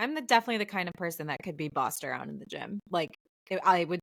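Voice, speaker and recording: In a dry, close recording with no echo, a woman with an American accent speaks in a fairly low voice with lively intonation. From Michigan, US Midwest. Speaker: podcast co-host, photographer. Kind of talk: casual chat. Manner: loud.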